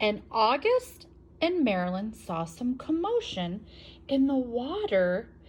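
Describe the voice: Just plain reading aloud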